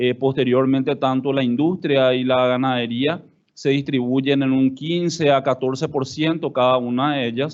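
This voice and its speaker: Monotone, flat intonation at a moderate pace. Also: man, medium pitch for a man. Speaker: government official. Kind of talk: conference talk.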